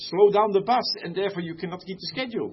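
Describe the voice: A fast-paced man's voice, high in pitch, with ordinary pitch variation.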